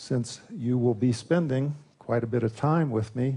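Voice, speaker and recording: A man with an American accent and a medium pitch speaks at a very slow pace in a dark, mellow, somewhat breathy tone. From US, Louisville, Kentucky. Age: 60s. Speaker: psychology professor. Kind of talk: conference presentation. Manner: formal.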